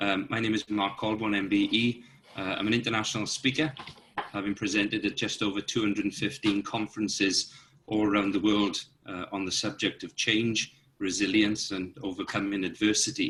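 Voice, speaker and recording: A man speaks with a Welsh accent at a fairly low pitch. His pace is fairly quick. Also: fairly even intonation. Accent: Welsh, natural. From South Wales. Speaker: Olympian and motivational speaker. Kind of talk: self-introduction talk.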